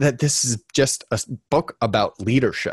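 A man talks at a moderate pace and medium pitch, the sound dry and close with no echo against a quiet background. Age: 30s. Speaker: marketing executive and author. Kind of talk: webinar presentation.

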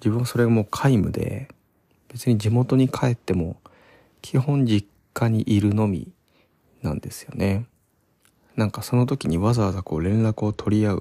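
A man at a medium pitch with a dark, mellow tone, a moderate pace, ordinary pitch variation and long, frequent pauses, in a dry, close sound with no echo on a very clean recording with a silent background. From Kanagawa, Odawara. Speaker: podcaster. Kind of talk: solo casual monologue. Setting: parents' home. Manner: relaxed, hesitant with fillers.

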